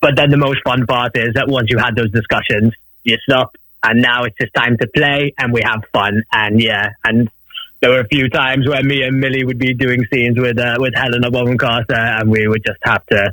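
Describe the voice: A man's medium-pitched voice with a bright, sharp tone, fairly even intonation and a moderate pace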